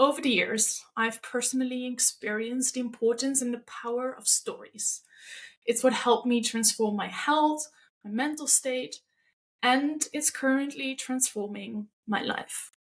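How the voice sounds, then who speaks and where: A woman speaks with a high pitch at a fairly slow pace. Her intonation stays fairly even. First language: not English. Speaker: podcast host. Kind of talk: podcast monologue.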